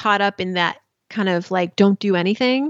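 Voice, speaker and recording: An unremarkable speaking voice belongs to a woman with an American accent. She talks at a moderate pace with a medium pitch. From US (Iranian American). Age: 40s. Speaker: personal finance journalist and podcast host. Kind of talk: casual chat.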